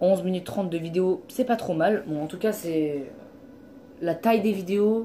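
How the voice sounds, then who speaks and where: Noticeable background noise sits behind this woman's voice. She talks at a fairly slow pace, medium in pitch, with ordinary pitch variation. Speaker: gaming YouTuber. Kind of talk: let's play commentary. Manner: animated.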